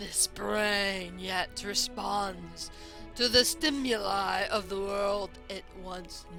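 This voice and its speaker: A put-on character voice talks at a very slow pace. Clear music plays in the background. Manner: monstrous, growly.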